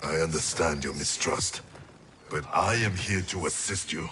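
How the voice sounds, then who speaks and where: A man puts on a character voice. It is very deep and low in pitch. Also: moderate pace. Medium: video game. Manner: grave, terse.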